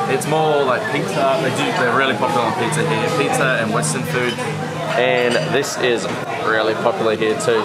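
Loud music plays in the background. Over it, a man speaks at a fairly quick pace. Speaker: travel food vlogger. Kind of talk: casual vlog chat.

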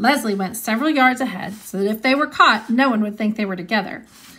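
This is a natural reading voice with ordinary pitch variation.

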